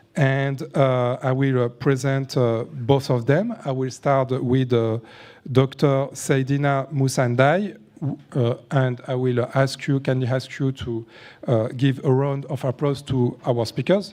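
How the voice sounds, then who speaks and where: A man's dark, mellow voice in a French accent, medium in pitch, fairly even in intonation and fairly slow. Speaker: panel moderator, entrepreneur and author. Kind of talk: moderating a conference panel. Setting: conference stage with audience. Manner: halting, many fillers.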